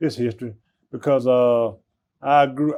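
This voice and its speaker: A man with an Alabama accent speaks at a fairly slow pace, keeping a medium pitch and fairly even intonation. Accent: Southern US, Alabama. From US South, Birmingham, Alabama. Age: 60s. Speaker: airline ramp agent. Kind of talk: interview. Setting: break room at airport. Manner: halting.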